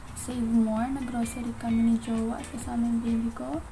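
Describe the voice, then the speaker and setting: A soft-spoken voice comes through with audible room echo and noticeable background noise. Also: woman. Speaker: beauty vlogger. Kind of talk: tutorial. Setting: home at night.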